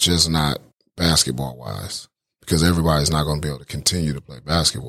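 Speaking very fast with an American accent, a man has a very deep, low pitch, a bright, sharp tone and vocal fry. His intonation is fairly even, while his loudness swings a lot. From Pontiac, Michigan. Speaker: college basketball assistant coach. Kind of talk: interview. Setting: office at university.

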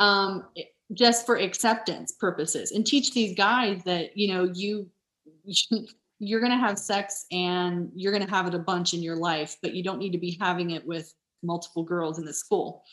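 The voice is an unremarkable speaking voice, moving at a moderate pace with ordinary pitch variation. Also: woman, medium pitch for a woman. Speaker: nurse. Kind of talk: casual chat.

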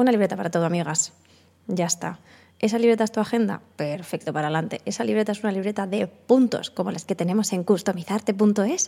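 On a very clean recording with a silent background, a woman at medium pitch talks at a very fast pace. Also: ordinary pitch variation. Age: 30s. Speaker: podcaster. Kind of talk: casual chat. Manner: halting.

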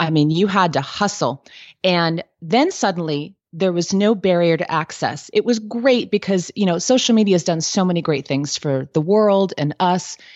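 At a moderate pace with hardly any pauses, a woman speaks in a normal speaking voice, fairly low in pitch with ordinary pitch variation. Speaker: business coach and entrepreneur. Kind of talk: interview, casual professional chat.

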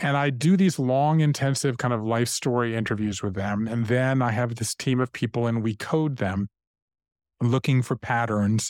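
A man with an ordinary speaking voice and an American accent, medium in pitch with ordinary pitch variation, at a moderate pace, in a dry, close sound with no echo. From US South, Savannah, Georgia. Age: 50s. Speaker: author. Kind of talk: interview conversation.

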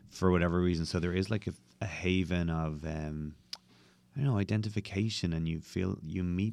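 A man with a Dublin accent speaks in a very deep, low pitch at a moderate pace. His voice shows ordinary pitch variation, and the recording is very clean with a silent background. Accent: Irish (Dublin). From Dublin, Ireland. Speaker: bartender. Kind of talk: interview conversation.

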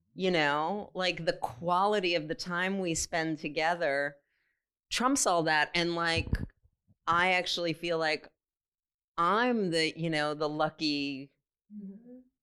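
Using a bright, sharp tone, a woman with an American accent speaks very slowly at a fairly low pitch, with ordinary pitch variation and long, frequent pauses. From California. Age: 50s. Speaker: participant in group discussion. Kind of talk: facilitated group dialogue. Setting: room with audience in a circle.

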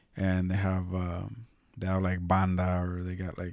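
A man with a very deep, low pitch speaks in a relaxed tone. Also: very clean recording, silent background. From California, Mexican-American family. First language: Spanish. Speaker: podcast host. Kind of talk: casual monologue. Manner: relaxed, many fillers.

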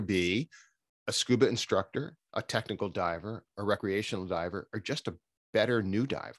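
Recorded very cleanly against a silent background, a man with a plain, everyday voice talks at a fairly low pitch with ordinary pitch variation, in a dry, close sound with no echo. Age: 60s. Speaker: scuba training agency founder and former filmmaker. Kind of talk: interview.

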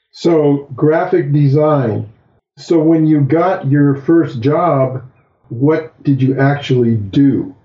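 Very slow and somewhat breathy, a man speaks with a fairly high pitch. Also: ordinary pitch variation, very even loudness. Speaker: surfer and guest interviewer. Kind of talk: casual interview.

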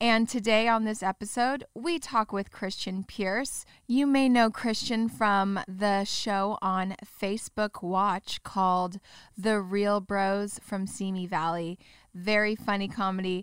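A woman speaks at a very slow pace with a medium pitch and ordinary pitch variation. The recording is very clean, with a silent background and a dry, close sound with no echo. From Orange County, California. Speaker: podcast host. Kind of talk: casual interview chat. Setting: studio.

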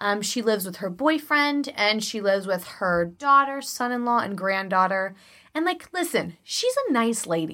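Very wide pitch swings mark this woman's fairly high, bright, sharp voice, animated in tone and carrying a Chicago accent. The recording is very clean, with a silent background. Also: moderate pace. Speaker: podcast co-host. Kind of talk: casual chat.

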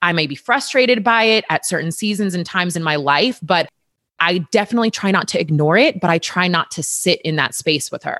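This is a woman with a normal speaking voice at medium pitch, talking at a moderate pace. The recording is very clean and dry, close-sounding with no echo and a silent background. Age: 30s. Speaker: personal trainer. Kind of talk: casual chat.

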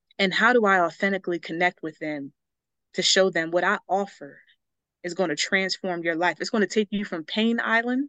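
A woman with an American accent speaks at a medium pitch with ordinary pitch variation, her bright, sharp tone caught in a dry, close sound with no echo. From US Northeast, Philadelphia area. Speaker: public speaker and storytelling coach. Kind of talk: podcast interview. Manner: animated.

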